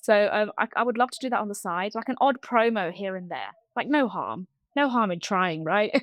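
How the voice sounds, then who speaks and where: A woman with a London accent speaks at a moderate pace and a fairly high pitch. The background is quiet. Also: ordinary pitch variation, dry, close sound with no echo. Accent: southern English, London. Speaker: TV support engineer. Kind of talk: interview. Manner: hesitant, many fillers.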